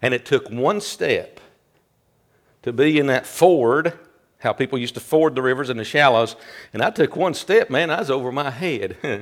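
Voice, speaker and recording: Fairly high male voice at a moderate pace, lively in intonation, with long, frequent pauses, on a very clean recording with a silent background. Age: 60s. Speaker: pastor. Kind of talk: sermon.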